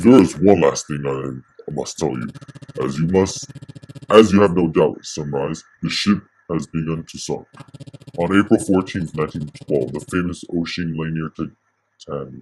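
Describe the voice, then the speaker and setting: Using a put-on character voice, a man speaks at a moderate pace in a very deep, low pitch, with ordinary pitch variation, big swings in loudness and long, frequent pauses. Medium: read story. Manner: formal, implacable.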